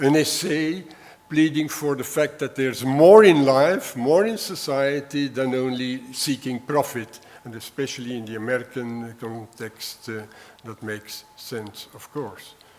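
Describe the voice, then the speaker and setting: With a southern Dutch accent, a man speaks at medium pitch and a fairly slow pace, with ordinary pitch variation, big swings in loudness, and noticeable background noise. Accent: southern Dutch-speaker. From Belgium (Flanders). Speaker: retired history professor. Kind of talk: lecture. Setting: university lecture hall. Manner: hesitant, many fillers.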